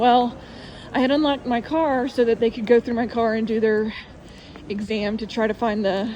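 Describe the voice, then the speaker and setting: A woman speaks with a Southern US accent at a fairly high pitch. Her intonation is fairly even, and there is noticeable background noise. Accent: southern drawl. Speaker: testimony vlogger. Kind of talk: testimony. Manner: slow.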